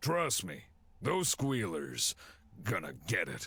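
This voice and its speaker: A raspy put-on character voice at a fairly slow pace. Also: man, medium pitch for a man. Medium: game stream. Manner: clipped, gruff.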